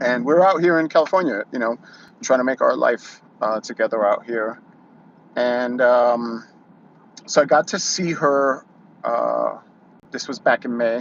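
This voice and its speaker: Speaking with a New York accent at a fairly slow pace, a man uses a medium pitch and ordinary pitch variation over noticeable background noise. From New York City. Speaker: YouTuber. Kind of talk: casual monologue, live stream. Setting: YouTube live stream. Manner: halting, many fillers.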